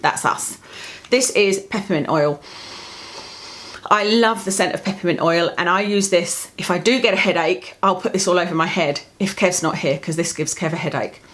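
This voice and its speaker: A woman with a medium-pitched voice and ordinary pitch variation talks over noticeable background noise. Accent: British. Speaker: lifestyle vlogger. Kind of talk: product review vlog. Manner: fast.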